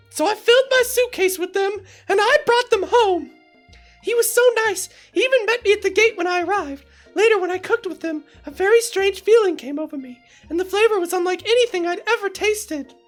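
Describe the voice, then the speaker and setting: Over faint music in the background, a woman uses a squeaky, put-on character voice at an extremely high pitch, talking fairly quickly. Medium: game stream. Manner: breathless, gushing.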